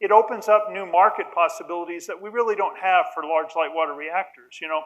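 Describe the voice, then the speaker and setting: A loud man talks at a fairly quick pace with ordinary pitch variation. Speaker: nuclear engineer, symposium panelist. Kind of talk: conference panel talk. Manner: halting, many repetitions.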